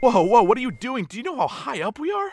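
A man puts on a character voice at an extremely high pitch. He talks fast with big pitch swings.

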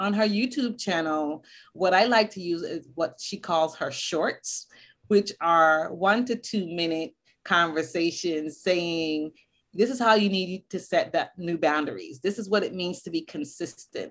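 This woman has a plain, everyday voice, fairly low in pitch with ordinary pitch variation. She talks at a fairly slow pace on a very clean recording with a silent background. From US Northeast (Boston), born in Barbados. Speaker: school counselor. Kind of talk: interview.

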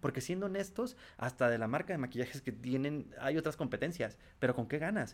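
With a plain, everyday voice, a man talks at a fairly quick pace, using lively intonation at a fairly high pitch. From Tijuana, Mexico. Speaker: sales executive. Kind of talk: interview.

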